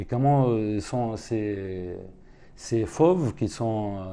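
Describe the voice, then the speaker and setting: At a very slow pace, a man talks in a fairly low pitch with a dark, mellow tone. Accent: Arabic. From West Bank, Palestine. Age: 30s. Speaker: painter. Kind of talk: seminar talk with Q&A. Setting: room with audience. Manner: halting.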